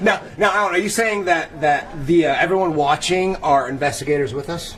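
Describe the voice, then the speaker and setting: Over noticeable background noise, a loud man speaks at a fairly quick pace, his high pitch showing ordinary pitch variation. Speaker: paranormal investigator. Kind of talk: live-streamed event tour. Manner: animated.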